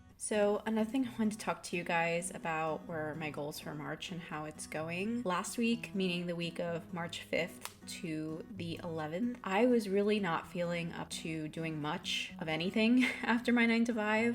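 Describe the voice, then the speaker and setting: Over music in the background, a woman with a fairly low pitch talks at a moderate pace with hardly any pauses. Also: ordinary pitch variation. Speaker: artist. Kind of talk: voiceover narration. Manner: calm, relaxed.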